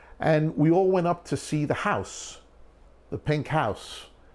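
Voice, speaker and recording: Speaking fairly slowly, a man talks in a Brooklyn accent. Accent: New York (Brooklyn). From New York, Long Island (West Hempstead). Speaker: documentary filmmaker. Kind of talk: documentary interview storytelling.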